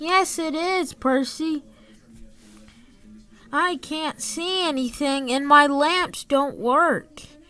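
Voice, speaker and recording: A woman puts on a high-pitched character voice. She speaks at a very slow pace with long, frequent pauses. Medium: read story.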